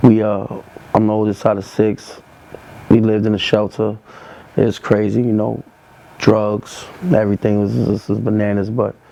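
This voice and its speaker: A man with a New York accent speaks at a moderate pace in a fairly low, monotone, flat voice, leaving long, frequent pauses over noticeable background noise. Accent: New York (Bronx). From New York, the Bronx. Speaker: rapper. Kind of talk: interview monologue. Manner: casual, halting with fillers.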